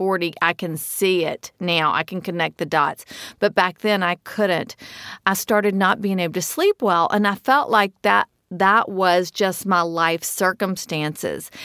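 Recorded very cleanly against a silent background, with a dry, close sound and no echo, a woman speaks at a medium pitch and a fairly slow pace. Her tone is bright, sharp and energetic, with ordinary pitch variation. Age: 50s. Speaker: health coach. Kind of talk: personal testimony.

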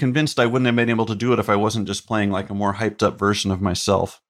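A man with an American accent talks at a very fast pace and a medium pitch. His intonation is lively, on a very clean recording with a silent background. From US South, North Carolina (Chapel Hill). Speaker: comedian and TV writer. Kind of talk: casual chat.

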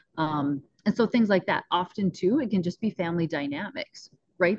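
A woman speaks with a North Dakota accent. The sound is dry and close, with no echo. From northwest North Dakota. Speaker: mindset coach and rancher. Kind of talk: podcast interview. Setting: video call.

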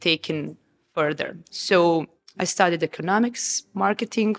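Someone with a Serbian accent talks at a fairly slow pace with ordinary pitch variation on a very clean recording with a silent background. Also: woman. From Serbia, Novi Sad. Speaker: restaurant founder. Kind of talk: interview. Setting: restaurant.

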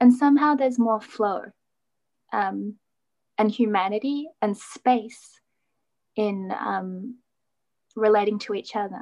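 A woman's fairly high voice at a very slow pace, with ordinary pitch variation and long, frequent pauses. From Australia. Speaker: writer and lawyer. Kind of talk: casual chat. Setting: video call.

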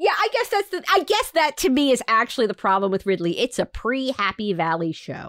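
A woman speaks at a moderate pace, the sound dry and close with no echo. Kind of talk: casual podcast chat. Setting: home recording, cat outside door.

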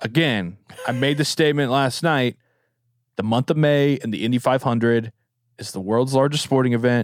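Heard in a dry, close sound with no echo, a man has a plain, everyday voice at a medium pitch and a moderate pace. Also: ordinary pitch variation, very clean recording, silent background. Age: 20s. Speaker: podcast host. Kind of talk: casual chat. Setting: studio.

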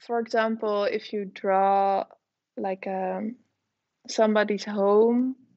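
Very slowly and with fairly even intonation, a woman speaks in a Dutch accent. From Netherlands. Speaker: artist and illustrator. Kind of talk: interview. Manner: hesitant, many fillers.

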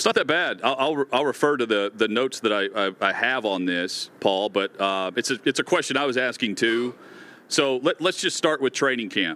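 At a moderate pace, a man uses an ordinary speaking voice at a medium pitch with lively intonation. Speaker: sports talk show co-host. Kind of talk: casual sports talk banter. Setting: remote broadcast from a stadium.

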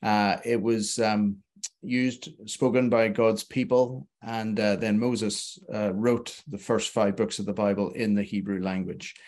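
A man speaks at a fairly low pitch and a fairly slow pace. His intonation stays fairly even. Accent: Northern Irish. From Belfast, Northern Ireland. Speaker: theologian and author. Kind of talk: casual interview. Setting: live video show.

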